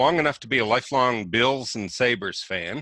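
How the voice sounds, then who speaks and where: A man with a Southern accent, medium in pitch with ordinary pitch variation, a bright, sharp tone and a fairly slow pace, dry and close with no echo on a very clean recording with a silent background. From Roanoke, Virginia. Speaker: web developer. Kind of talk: casual interview.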